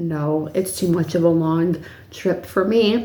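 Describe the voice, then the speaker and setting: A woman talks fairly slowly, and the room lends her voice an audible echo. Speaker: YouTuber, paranormal storyteller. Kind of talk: casual vlog storytelling. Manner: filler-heavy, rambling.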